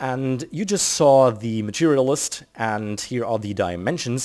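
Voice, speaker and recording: A man with a German accent speaks at a medium pitch and a fairly slow pace. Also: very clean recording, silent background. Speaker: video game tutorial creator. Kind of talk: tutorial. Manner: casual, with frequent fillers.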